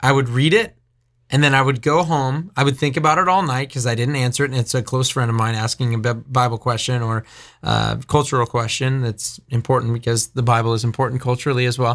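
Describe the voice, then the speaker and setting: His pitch is medium and varies in an ordinary way as the man talks fairly quickly. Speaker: radio host and ministry leader. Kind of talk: casual chat. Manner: fast talker.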